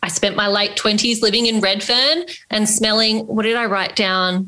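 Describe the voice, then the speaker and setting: In an Australian accent, a woman speaks at a moderate pace with fairly even intonation. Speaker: podcast co-host. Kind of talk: interview; scripted outro.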